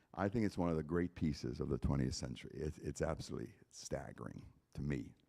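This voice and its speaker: The man's voice is very deep and low, with a dark, mellow tone and vocal fry. He talks very fast with lively intonation. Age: 70s. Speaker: concert pianist. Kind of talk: spoken introduction between pieces at a concert. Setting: church concert with audience. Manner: animated.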